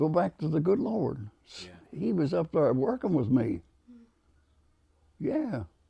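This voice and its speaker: A man's fairly high, dark, mellow voice with vocal fry, very wide pitch swings, big swings in loudness, a fairly slow pace and long, frequent pauses. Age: 80s+. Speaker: war veteran. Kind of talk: interview answer.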